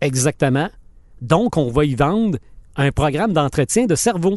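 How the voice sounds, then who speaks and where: The man's pitch is fairly high. He speaks at a fairly slow pace with lively intonation. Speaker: podcast co-host. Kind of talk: casual chat.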